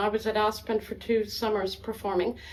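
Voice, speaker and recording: A woman with an American accent and a plain, everyday voice speaks at a moderate pace with a fairly high pitch. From US South, Atlanta, Georgia. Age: 60s. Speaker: violinist. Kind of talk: interview.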